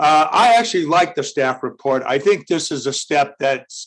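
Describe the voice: Loud and with a fairly bright tone, a man talks at a fairly slow pace.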